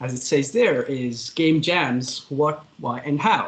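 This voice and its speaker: Somewhat breathy speech at a fairly slow pace. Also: man. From Pakistan. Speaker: game developer. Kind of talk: presentation talk. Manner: casual, hesitant with fillers.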